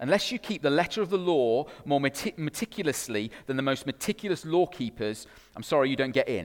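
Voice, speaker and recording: An ordinary speaking voice, a man's, fairly high in pitch, with lively intonation at a moderate pace. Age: 30s. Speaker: pastor. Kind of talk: sermon.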